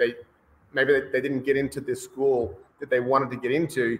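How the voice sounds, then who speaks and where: An Australian accent marks this man's speech, delivered at a fairly quick pace. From Australia, Brisbane. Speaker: rowing coach. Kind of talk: interview. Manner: many filler words, hesitant.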